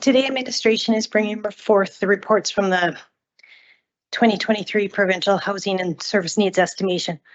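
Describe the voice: A woman's put-on character voice, raspy and hoarse, medium in pitch, with fairly even intonation at a fairly quick pace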